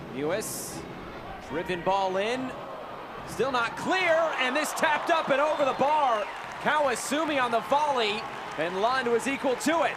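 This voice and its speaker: Crowd noise fills the background as a man with an extremely high pitch talks at a fairly slow pace, with lively intonation and long, frequent pauses. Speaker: play-by-play commentator. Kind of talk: live sports commentary. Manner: animated, breathless exclamations.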